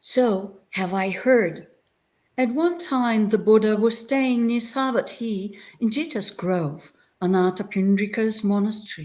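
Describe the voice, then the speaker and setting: This somewhat breathy voice moves at a fairly slow pace. Its intonation is lively. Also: woman, fairly high pitch for a woman. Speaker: Buddhist nun and abbot. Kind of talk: reading aloud.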